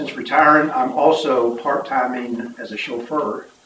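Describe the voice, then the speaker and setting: Noticeable background noise and audible room echo fill this recording. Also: man. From Kentucky. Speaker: town treasurer. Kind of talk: town board meeting introduction. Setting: town board meeting room.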